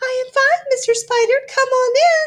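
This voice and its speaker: A squeaky, put-on character voice moves at a moderate pace with ordinary pitch variation. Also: woman. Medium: read story. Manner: sweetly menacing.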